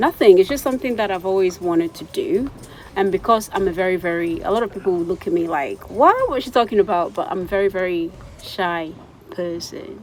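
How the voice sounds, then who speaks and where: A woman at a medium pitch and fairly quick pace, with ordinary pitch variation and noticeable background noise. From Ghana. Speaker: vlogger. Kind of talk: interview Q and A.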